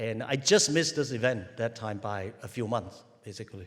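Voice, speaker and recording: With a Cantonese accent, a man talks at a fairly quick pace and a medium pitch, and audible room echo surrounds his voice. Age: old. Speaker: university president. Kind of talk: ceremonial speech. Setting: stadium with audience.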